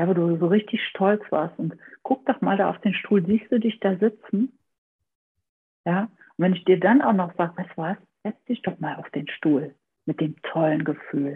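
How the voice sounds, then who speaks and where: A woman's medium-pitched voice at a moderate pace, lively in intonation, with long, frequent pauses. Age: 40s. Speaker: family therapist and trauma education lecturer. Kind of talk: interview; guided exercise.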